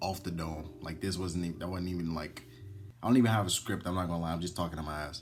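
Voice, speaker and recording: Over music in the background, a man with a very deep, low pitch talks at a very fast pace with fairly even intonation and audible room echo. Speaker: gaming YouTuber. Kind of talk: casual nostalgic commentary. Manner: unscripted, stumbling.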